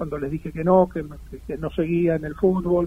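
The intonation is monotone and flat. This man speaks with a fairly high pitch. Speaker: former professional footballer. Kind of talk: interview.

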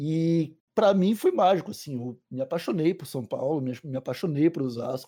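A man's fairly high voice, dark and mellow in tone, with ordinary pitch variation. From Santa Catarina coast, Brazil (Palhoça). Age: 20s. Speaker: cannabis podcaster. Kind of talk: casual interview chat.

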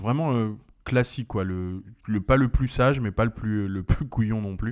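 A man with an ordinary speaking voice at a fairly quick pace, fairly even intonation, on a very clean recording with a silent background. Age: 30s. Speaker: podcast co-host. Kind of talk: casual chat.

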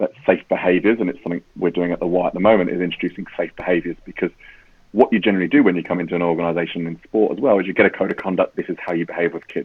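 Speaking at a very fast pace with a British accent, a man uses a very deep, low pitch and ordinary pitch variation. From UK. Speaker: safeguarding executive. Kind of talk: interview conversation.

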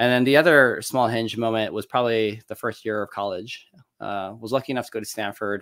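A man with an American accent speaks in an unremarkable speaking voice at medium pitch, fairly quick and with fairly even intonation, on a very clean recording over a silent background. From Michigan. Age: 40s. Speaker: venture capitalist. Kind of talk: podcast interview. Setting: livestream.

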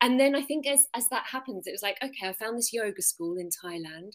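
A woman with an English accent talks at a fairly quick pace. Her fairly high pitch makes very wide swings. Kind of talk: interview.

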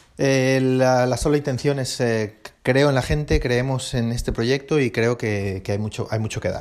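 This man talks at a medium pitch and a fairly slow pace. His intonation stays fairly even. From Basque Country, Spain. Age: 40s. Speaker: podcast host, airline pilot. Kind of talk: casual solo podcast monologue. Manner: halting, many repetitions and fillers.

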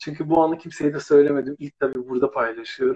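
The sound is dry and close, without any echo. The voice belongs to a man. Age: 50s. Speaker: former TV presenter. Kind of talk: casual chat.

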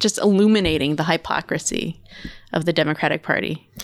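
A woman has an unremarkable speaking voice with ordinary pitch variation at a moderate pace. The recording is very clean, with a silent background. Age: 30s. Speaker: political campaign volunteer. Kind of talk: casual political interview.

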